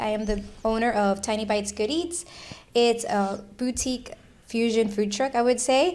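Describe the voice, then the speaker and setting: A woman talks in a normal speaking voice at a fairly quick pace, fairly high in pitch with ordinary pitch variation. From Miami, Florida (Cuban-American). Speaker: food truck owner and chef. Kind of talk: casual chat.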